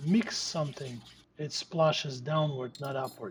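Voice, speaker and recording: A man talks with fairly even intonation against noticeable background noise. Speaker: home cook. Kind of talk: cooking tutorial.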